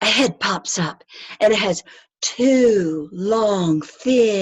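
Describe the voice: The clip is plain reading aloud. Its intonation is lively, and the background is quiet.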